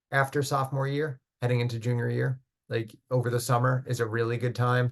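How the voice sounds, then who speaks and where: Against a quiet background, a man at medium pitch speaks in a monotone, flat way that sounds somewhat breathy. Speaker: college admissions counselor. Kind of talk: online info session. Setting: video call. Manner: fast.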